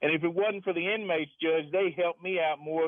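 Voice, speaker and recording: A man with a fairly high pitch uses a plain, everyday voice, keeping to a moderate pace. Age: 60s. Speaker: caller, former prison guard. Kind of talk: radio call-in.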